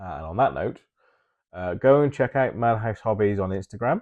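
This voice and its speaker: Speaking at a fairly quick clip with lively intonation, a man with an English accent is recorded in a dry, close sound with no echo against a quiet background. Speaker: hobby YouTuber and miniature painter. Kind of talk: casual monologue to camera. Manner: hesitant, many filler ums.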